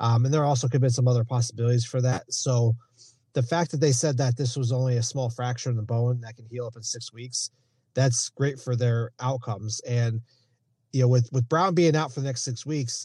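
Here a man's voice sounds somewhat breathy. His intonation is fairly even. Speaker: sports injury analyst. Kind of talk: injury report segment.

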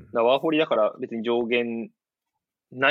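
Here is a man with a normal speaking voice at a medium pitch. His pace is moderate and his intonation lively. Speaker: former footballer. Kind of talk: casual interview chat. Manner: frequent laughter.

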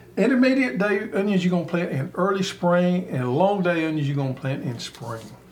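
Lively intonation and a fairly quick pace in a Southern US accent, with noticeable background noise and audible room echo. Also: man. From US South. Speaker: gardening show host. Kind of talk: casual chat.

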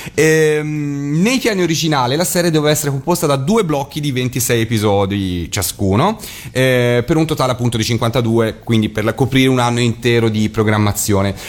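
Over noticeable background noise, a man of medium pitch talks at a moderate pace with lively intonation and very even loudness. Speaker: radio host. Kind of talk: casual chat on live radio. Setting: radio studio, sharing one microphone.

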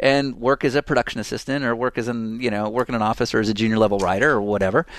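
A man with an American accent and a medium pitch speaks at a very fast pace against a quiet background. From US West Coast, San Francisco. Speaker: media company owner and podcast co-host. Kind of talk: casual chat. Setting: video call.

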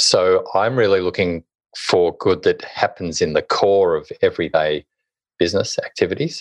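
Spoken at a moderate pace with an Australian accent, the clip has a dry, close sound with no echo and a quiet background. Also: man. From Hobart, Tasmania, Australia. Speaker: author and social impact consultant. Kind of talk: interview.

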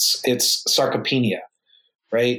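In an American accent, a man talks fairly slowly at a medium pitch in an unremarkable speaking voice. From United States. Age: 30s. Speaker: emergency physician and powerlifter. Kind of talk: casual interview.

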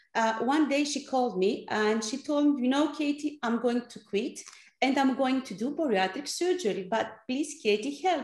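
Her high-pitched voice moves at a moderate pace, and this woman's intonation is lively. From Greece. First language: Greek. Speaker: app founder, former clinical researcher. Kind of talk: interview. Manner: halting, many fillers.

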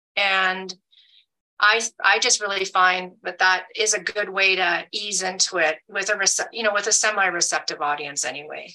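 A woman's medium-pitched voice, bright and sharp in tone, at a moderate pace with fairly even intonation. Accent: Canadian. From Alberta, Canada. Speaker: hunting advocate. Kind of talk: panel discussion.

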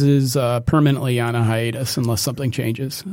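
Noticeable background noise sits under a man talking at medium pitch and a moderate pace with ordinary pitch variation. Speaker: musician. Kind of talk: casual chat.

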